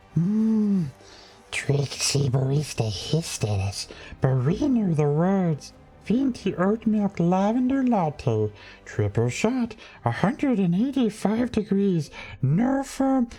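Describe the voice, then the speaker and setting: In a put-on character voice, a female-sounding speaker of medium pitch goes at a fairly slow pace with very wide pitch swings. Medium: solo performance. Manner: hissing, refers to self as us.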